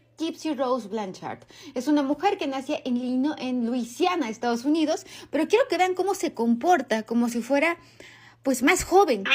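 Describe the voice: This woman speaks at a moderate pace. Her intonation is lively. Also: high pitch for a woman.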